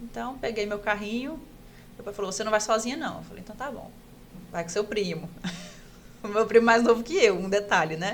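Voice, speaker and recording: Speaking at a fairly quick pace with long, frequent pauses, a woman with a fairly high pitch shows ordinary pitch variation and big swings in loudness. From Pará, northern Brazil. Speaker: orthopedic resident doctor. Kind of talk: casual podcast interview, personal story.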